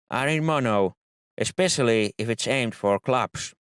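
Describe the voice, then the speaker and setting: A man with a non-native accent speaks at a medium pitch and a fairly slow pace with lively intonation, in a very clean recording with a silent background and a dry, close sound with no echo. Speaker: music production tutor. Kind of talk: tutorial.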